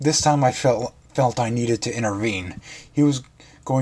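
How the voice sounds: With ordinary pitch variation, a natural voice reads something aloud.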